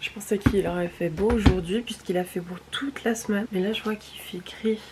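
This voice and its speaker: Through noticeable background noise, a woman speaks at a moderate pace with fairly even intonation. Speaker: vlogger. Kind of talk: casual vlog.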